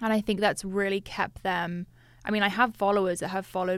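A woman with an American accent speaks in a plain, everyday voice at a medium pitch and a fairly quick pace. Her intonation is fairly even, and the recording is very clean, with a silent background. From Switzerland and US (Westchester, New York). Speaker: fitness influencer. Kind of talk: casual interview chat.

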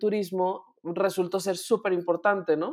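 A woman speaks with a Mexican accent against a quiet background. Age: 30s. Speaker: podcast host. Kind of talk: casual chat.

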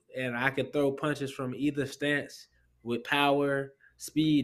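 Captured on a very clean recording with a silent background, a man with an American accent speaks at a fairly high pitch in monotone, flat intonation. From Orlando, Florida. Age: 20s. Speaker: professional boxer. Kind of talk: casual interview.

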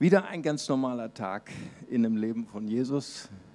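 Over music in the background, a man with a medium-pitched voice and ordinary pitch variation speaks at a fairly slow pace. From Brazil (Recife). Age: 50s. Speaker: pastor. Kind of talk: sermon.

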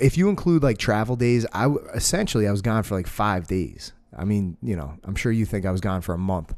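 An ordinary speaking voice from a man, fairly low in pitch, with lively intonation at a fairly quick pace against a quiet background. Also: hardly any pauses. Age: 30s. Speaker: jiu-jitsu academy owner and podcast host. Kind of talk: casual chat.

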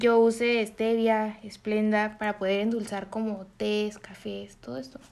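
This woman has a normal speaking voice, fairly high in pitch, with ordinary pitch variation and a fairly slow pace. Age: 20s. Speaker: university student. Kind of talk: interview answers.

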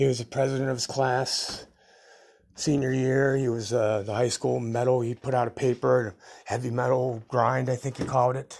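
Delivered at a moderate pace, the speech keeps a monotone, flat intonation. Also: man, medium pitch for a man. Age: 50s. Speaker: podcaster telling life stories. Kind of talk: solo autobiographical monologue. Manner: casual, rambling with fillers.

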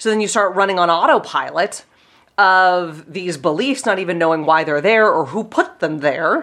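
A woman with a slight Pittsburgh accent speaks at a medium pitch against a quiet background. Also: ordinary pitch variation, moderate pace. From Pittsburgh, US. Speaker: life coach and podcast host. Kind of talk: casual interview chat.

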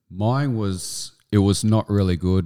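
A man with an Australian accent speaks in a dark, mellow tone on a very clean recording with a silent background. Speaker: army veteran. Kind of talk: interview.

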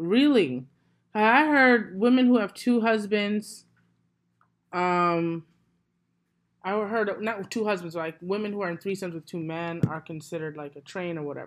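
A loud woman with an American accent speaks at medium pitch and a moderate pace with lively intonation and long, frequent pauses, in a very clean recording with a silent background. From US, New York (Brooklyn). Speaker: podcaster. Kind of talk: casual chat.

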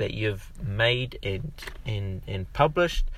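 Somewhat breathy and fairly low-pitched, a man speaks at a very slow pace with ordinary pitch variation. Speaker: podcast host and affiliate marketer. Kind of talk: solo podcast monologue, promotional. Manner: filler words, somewhat halting.

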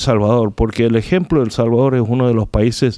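The voice belongs to a man with a dark, mellow tone. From Korea. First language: Korean (speaking Spanish). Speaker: pastor. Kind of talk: radio interview.

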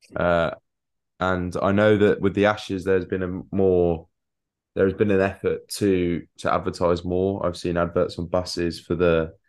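A very deep, low-pitched man with an English accent, monotone and flat in intonation, at a moderate pace against a quiet background. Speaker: cricket podcast co-host. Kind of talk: casual chat.

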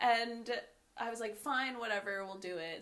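A woman talks in a bright, sharp tone with ordinary pitch variation. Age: 20s. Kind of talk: casual chat. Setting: home-made mic setup.

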